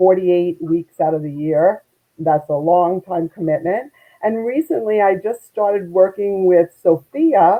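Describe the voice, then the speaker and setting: At a fairly slow pace, a woman speaks with a Brooklyn accent at medium pitch. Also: ordinary pitch variation. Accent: Brooklyn, New York. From US Northeast, Brooklyn, New York. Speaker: networking expert and volunteer. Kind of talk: interview. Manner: animated.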